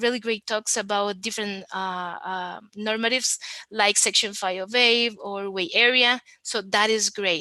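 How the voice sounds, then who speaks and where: Against a quiet background, a woman speaks at a medium pitch and a fairly slow pace, her tone bright and sharp and her intonation fairly even. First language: Spanish. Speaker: conference speaker on web accessibility. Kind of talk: conference talk.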